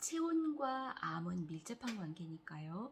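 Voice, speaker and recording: A woman speaks at a very slow pace. Her voice is fairly low in pitch and somewhat breathy. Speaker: cancer patient vlogger. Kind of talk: casual vlog talk.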